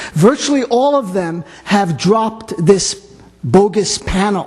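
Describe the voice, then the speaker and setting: A man's high-pitched voice with ordinary pitch variation, plus noticeable background noise. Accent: New York. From New York. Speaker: radio host. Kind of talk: panel discussion.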